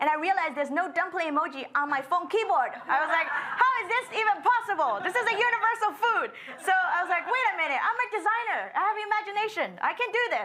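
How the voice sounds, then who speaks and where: A woman with an extremely high pitch and lively intonation speaks in a raised, projected voice at a very fast pace with hardly any pauses, amid noticeable background noise and audible room echo. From China (Shanghai). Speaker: designer. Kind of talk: panel discussion.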